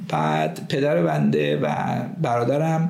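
A man is speaking here. The recording carries noticeable background noise and audible room echo. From Tehran, Iran. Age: 50s. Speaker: pharmacy professor and entrepreneur. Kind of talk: interview, life story.

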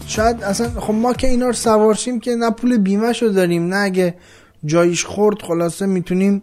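A man with a high pitch at a fairly quick pace. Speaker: podcast host. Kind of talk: casual monologue.

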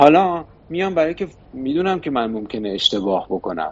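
This man's pitch rises and falls very widely. He keeps a moderate speed. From Iran, Shiraz. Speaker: investment firm board member. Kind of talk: interview. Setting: studio.

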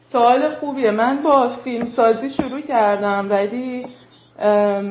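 A woman is speaking with ordinary pitch variation. Audible room echo surrounds her voice. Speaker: filmmaker and artist. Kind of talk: casual interview.

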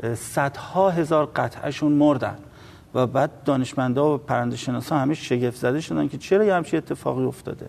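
Ordinary pitch variation and a moderate pace come through. It is a normal speaking voice. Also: man, fairly high pitch for a man. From Iran, Tehran. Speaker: environmental activist and researcher. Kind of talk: TV interview.

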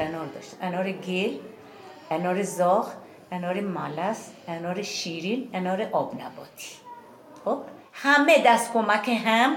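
A woman is speaking. Noticeable background noise and audible room echo can be heard. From Iran, Yazd province village. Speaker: villager, Zoroastrian farmer. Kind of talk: interview, reminiscing.

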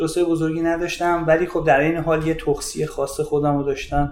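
A man talks with an ordinary speaking voice. His pitch is fairly high and his pace fairly quick. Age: 40s. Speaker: fitness coach and judoka. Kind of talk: casual chat.

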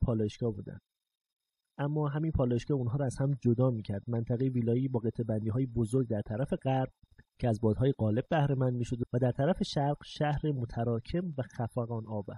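This man speaks at a fairly quick pace with a medium pitch, ordinary pitch variation, a somewhat breathy, dark and mellow tone, and a dry, close sound with no echo. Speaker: podcast host and narrator. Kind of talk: scripted narration.

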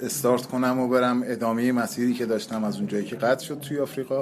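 A man with a mid-range voice speaks at an unhurried, even tempo while clear background noise is audible. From Iran, Qazvin. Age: 30s. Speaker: touring cyclist and transit truck driver. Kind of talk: interview.

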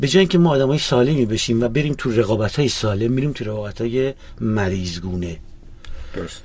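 Noticeable background noise sits behind a man at medium pitch. He talks at a very fast pace with lively intonation. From Iran, Kermanshah. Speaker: rock drummer and music teacher. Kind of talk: interview.

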